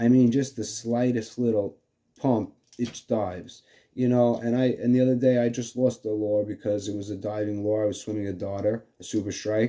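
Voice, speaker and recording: A man speaks in a New York accent with a dark, mellow tone. His intonation is fairly even, and the recording is very clean with a silent background. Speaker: fishing video host. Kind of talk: casual tutorial. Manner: halting, many fillers.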